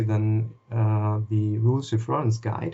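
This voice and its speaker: A man talks with a German accent at a medium pitch. His voice is somewhat breathy. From Germany. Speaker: wiki moderator, gamer. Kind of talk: interview. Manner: halting.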